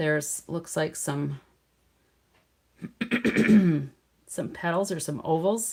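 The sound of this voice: A woman's raspy, hoarse, put-on character voice at a fairly low pitch, with lively intonation, a very slow pace and long, frequent pauses.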